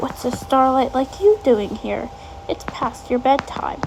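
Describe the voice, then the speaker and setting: In a put-on character voice, a woman speaks with a high pitch at a fairly slow pace over clear background noise. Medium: read story.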